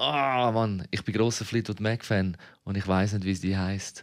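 In a very clean recording with a silent background, a man with a Zurich accent speaks at a moderate pace with a fairly low pitch and ordinary pitch variation. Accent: Zurich Swiss German. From Switzerland, Zurich city (Kreis 11). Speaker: podcast co-host. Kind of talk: casual chat.

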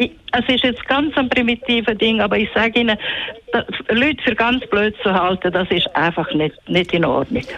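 Noticeable background noise sits behind a woman's fairly high voice. She speaks at a moderate pace with lively intonation and very even loudness. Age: 60s. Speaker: caller. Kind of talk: call-in radio talk. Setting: phone call. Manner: halting.

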